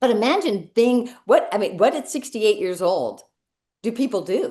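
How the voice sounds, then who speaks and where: A woman's high-pitched voice, dark and mellow in tone, with very wide pitch swings at a moderate pace. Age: 60s. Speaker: direct selling director. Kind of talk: casual interview. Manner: animated.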